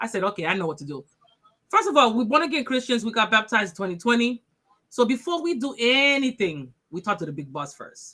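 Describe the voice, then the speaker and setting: With an American accent, a woman speaks at a very fast pace, her bright, sharp tone carrying vocal fry, very wide pitch swings and big swings in loudness. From Boston, Massachusetts. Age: 40s. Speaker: author. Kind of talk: interview. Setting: radio show.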